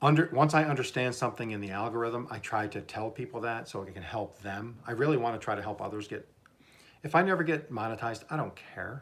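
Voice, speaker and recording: Here a man talks at a fairly quick pace with an American accent. His pitch varies in an ordinary way. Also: big swings in loudness. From southern Oklahoma. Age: 60s. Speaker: YouTuber, cooking and gardening channel host. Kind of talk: livestream casual chat. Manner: halting, many repetitions and fillers.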